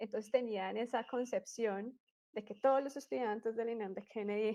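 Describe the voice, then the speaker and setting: Against a quiet background, a woman with a fairly high pitch and a dark, mellow tone speaks with ordinary pitch variation. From Colombia, Bogotá. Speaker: astrophysics doctoral student. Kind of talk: interview.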